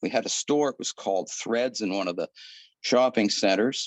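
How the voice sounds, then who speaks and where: Speaking in a Canadian accent, a man keeps a fairly quick pace with ordinary pitch variation. The sound is dry and close, with no echo. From Ottawa, Canada. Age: 70s. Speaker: Rotary club member, former missionary. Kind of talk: interview, life story. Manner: casual, hesitant with fillers.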